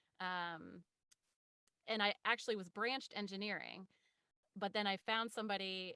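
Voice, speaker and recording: Speaking with an American accent, a woman has a bright, sharp tone at medium pitch with ordinary pitch variation, a moderate pace, and a dry, close sound with no echo. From Ohio. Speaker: voice actor. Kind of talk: interview answer.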